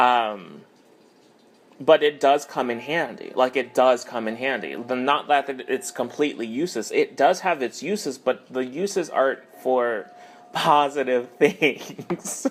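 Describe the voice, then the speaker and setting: Over music in the background, a man talks at a fairly slow pace in a medium pitch with ordinary pitch variation. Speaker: tarot reader. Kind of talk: tarot reading monologue. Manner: halting, many fillers.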